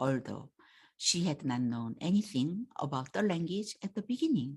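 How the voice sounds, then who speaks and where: The voice is somewhat breathy and has a Korean accent. It moves at a fairly slow pace with very wide pitch swings. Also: woman. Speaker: language teacher. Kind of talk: self-introduction talk. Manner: halting.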